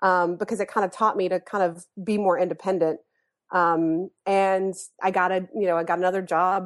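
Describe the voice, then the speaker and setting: Monotone, flat intonation at a moderate pace, very even in loudness, over a quiet background. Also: woman, medium pitch for a woman. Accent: American. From US South, North Carolina. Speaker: therapist turned comedy writer. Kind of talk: casual chat.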